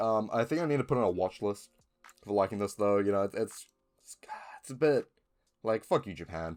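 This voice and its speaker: With music in the background, a man with a New Zealand accent talks fairly quickly in a fairly low voice with lively intonation. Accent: New Zealand (Kiwi). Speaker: film and TV reviewer, YouTuber. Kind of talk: casual talk to camera, collection showcase. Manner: casual, hesitant with many fillers and restarts.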